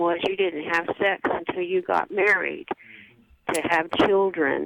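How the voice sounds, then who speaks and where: A woman speaks at a very slow pace, her medium-pitched voice showing ordinary pitch variation. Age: 70s. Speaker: caller. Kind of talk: call-in comment. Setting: phone call.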